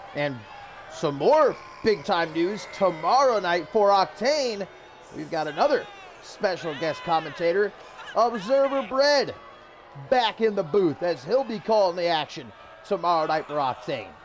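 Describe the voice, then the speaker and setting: With music in the background, a man speaks in a high pitch with very wide pitch swings, at a fairly slow pace with long, frequent pauses. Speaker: wrestling show commentator. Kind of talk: live show commentary. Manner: relaxed.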